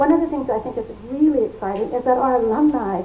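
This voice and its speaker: A woman's high-pitched voice at a fairly quick pace, with audible room echo and noticeable background noise. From United States. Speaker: academic, labor network representative. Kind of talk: conference welcome speech.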